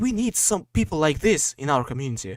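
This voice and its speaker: A man speaks with a Russian accent and very wide pitch swings. The sound is dry and close, with no echo. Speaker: podcast host. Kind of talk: casual chat. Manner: halting, many fillers.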